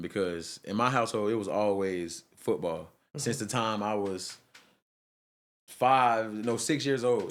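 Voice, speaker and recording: A man speaks with a Georgia accent. His voice sits fairly low. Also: very clean recording, silent background. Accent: Southern US, Georgia. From Albany, Georgia. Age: 20s. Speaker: artist. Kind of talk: podcast interview answer.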